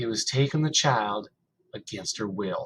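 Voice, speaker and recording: A man puts on a character voice at medium pitch. He keeps a moderate pace. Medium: read story. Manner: dull, flat.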